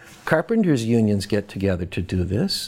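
A man with an American accent and a normal speaking voice, medium-pitched, lively in intonation, at a moderate pace. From Boston, US. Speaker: professor. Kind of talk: interview.

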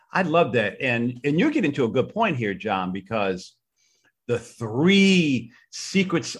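Speaking at a fairly slow pace, a man with a medium-pitched, somewhat breathy voice moves through very wide pitch swings. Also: quiet background. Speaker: podcast host. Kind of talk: casual interview.

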